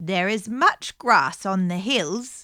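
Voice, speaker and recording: A woman puts on a character voice. Her medium-pitched delivery has lively intonation. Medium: read story.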